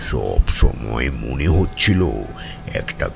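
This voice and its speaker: Against clear background noise, a man puts on a character voice and talks very slowly. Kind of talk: audio drama dialogue.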